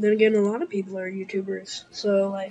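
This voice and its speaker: A woman talks at a medium pitch while noticeable background noise runs underneath. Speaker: gaming YouTuber. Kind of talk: gameplay commentary. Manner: hesitant, many fillers.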